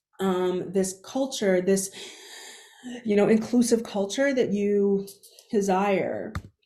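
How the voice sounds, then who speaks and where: Audible room echo surrounds a woman speaking at medium pitch and a very slow pace, with long, frequent pauses. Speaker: keynote speaker. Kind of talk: conference keynote talk. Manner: halting, frequent sound repetitions.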